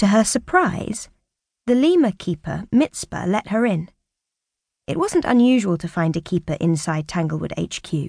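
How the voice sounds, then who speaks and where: At a moderate pace, a woman with a medium pitch speaks in a gentle, somewhat breathy tone with lively intonation, the sound dry and close with no echo over a quiet background. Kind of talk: audiobook narration of a children's story. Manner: even, gentle storyteller pacing with light expressive shifts for dialogue.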